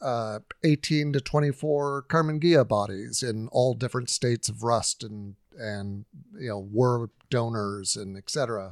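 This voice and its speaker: In a very clean recording with a silent background and a dry, close sound with no echo, a man with an American accent and an unremarkable speaking voice talks at a fairly slow pace, with medium pitch, ordinary pitch variation and big swings in loudness. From Southern California, Huntington Beach. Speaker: road-tripping VW bus owner. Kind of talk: casual chat.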